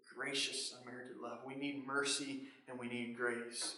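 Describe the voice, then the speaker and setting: Here a man with a fairly high pitch talks at a moderate pace. Audible room echo and noticeable background noise are present. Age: 20s. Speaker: pastor. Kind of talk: sermon. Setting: online church service.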